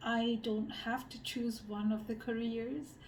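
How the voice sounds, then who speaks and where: The woman's fairly high voice carries audible room echo. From Malaysia. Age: 30s. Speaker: social researcher and designer. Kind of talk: interview monologue. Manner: hesitant, many fillers.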